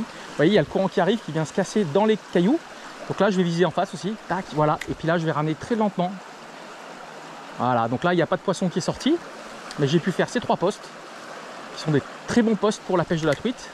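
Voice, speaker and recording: Lively intonation from a high-pitched man at a fairly quick pace, broken by long, frequent pauses, amid noticeable background noise. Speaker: fishing youtuber. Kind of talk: outdoor fishing tutorial. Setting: outdoors by a river. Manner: soft-spoken.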